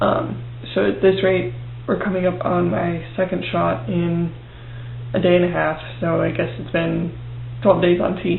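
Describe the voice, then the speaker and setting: Speaking at a fairly slow pace with long, frequent pauses, a man is heard through audible room echo and noticeable background noise. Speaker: video blogger. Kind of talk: video diary. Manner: hesitant, many fillers; quiet.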